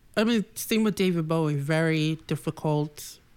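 A woman with an American accent speaks at a fairly slow pace in a very deep, low pitch. Her pitch varies in an ordinary way, and the recording is very clean with a silent background. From Boston, Massachusetts. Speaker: stylist. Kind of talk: casual chat.

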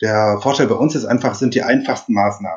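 A man's voice at medium pitch. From southern Germany (Upper Swabia, near Ravensburg). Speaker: energy consultant and engineer. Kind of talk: podcast interview. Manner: hesitant, many filler sounds.

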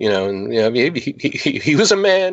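In an ordinary speaking voice, a man talks at a moderate pace with lively intonation. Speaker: film crew member and voice actor. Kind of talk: interview, casual chat.

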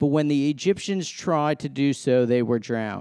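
Dry and close with no echo, on a very clean recording with a silent background, a man with an ordinary speaking voice talks at a moderate pace with ordinary pitch variation. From US, Massachusetts. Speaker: sports minister, guest preacher. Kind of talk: sermon. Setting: church stage with congregation.

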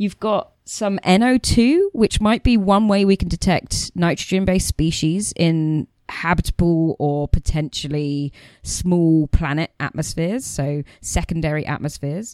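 With a British accent, a woman speaks at a fairly slow pace in a fairly low pitch with ordinary pitch variation. The sound is dry and close with no echo. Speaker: astronomer host. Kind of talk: casual chat.

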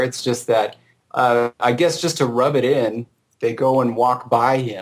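A man at medium pitch with a Southern California accent. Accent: Southern California drawl. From Southern California, Orange County. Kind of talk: casual chat. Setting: remote call.

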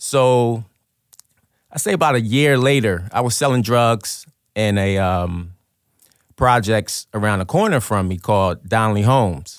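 Heard on a very clean recording with a silent background, a man in a plain, everyday voice talks at a moderate pace, his medium pitch showing ordinary variation. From Trenton, New Jersey, US; Liberian immigrant parents. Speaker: formerly incarcerated guest. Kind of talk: personal testimony in interview. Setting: radio studio.

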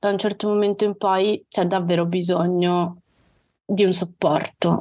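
A woman's flat, monotone delivery at a moderate pace, on a very clean recording with a silent background. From Calabria, southern Italy. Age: 30s. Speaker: service designer sharing her mental health story. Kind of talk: podcast interview, personal testimony.

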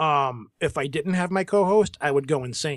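Speaking at a moderate pace with lively intonation, a man has a normal speaking voice on a very clean recording with a silent background. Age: 40s. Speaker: podcaster. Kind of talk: casual chat.

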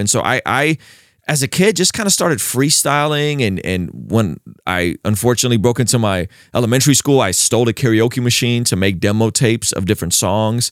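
A man at a medium pitch with an American accent and a plain, everyday voice, lively in intonation and moderate in pace, in a very clean recording with a silent background and a dry, close sound with no echo. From Azerbaijan, raised in the US from childhood. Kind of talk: interview.

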